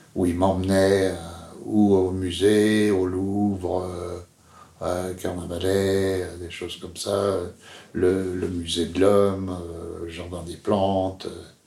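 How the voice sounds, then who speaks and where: Very deep and low, a man's voice has a dark, mellow tone and a monotone, flat intonation, moving at a very slow pace with long, frequent pauses and big swings in loudness amid audible room echo. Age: 70s. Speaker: interviewee telling his father's story. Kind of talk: personal testimony. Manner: halting, many hesitations.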